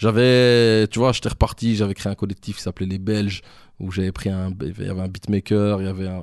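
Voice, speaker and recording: An ordinary speaking voice comes through at a fairly quick pace with fairly even intonation. The sound is dry and close with no echo, over a quiet background. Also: man, fairly low pitch for a man. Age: 30s. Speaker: rap manager and former rapper. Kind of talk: casual interview.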